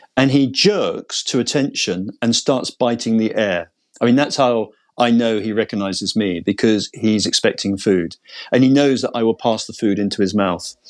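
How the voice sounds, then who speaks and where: Spoken at a moderate pace with ordinary pitch variation, this voice has a British accent over a quiet background. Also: man, medium pitch for a man. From Britain. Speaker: veterinarian. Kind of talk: interview testimony. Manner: hesitant with repetitions.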